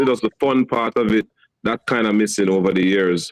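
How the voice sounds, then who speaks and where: A man with fairly even intonation at a moderate pace. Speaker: singer in a vocal group, solo artist. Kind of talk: casual interview. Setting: live-streamed show.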